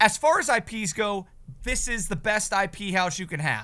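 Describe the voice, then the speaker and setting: A man speaks in a raised, projected voice. It is high-pitched, with a bright, sharp tone. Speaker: podcast co-host. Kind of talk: casual chat.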